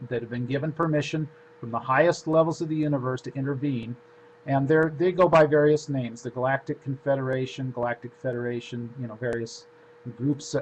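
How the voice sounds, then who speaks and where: A man speaks at a fairly quick pace with a medium pitch. His intonation stays fairly even. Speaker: spiritual lecturer and author. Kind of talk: lecture. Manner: fast.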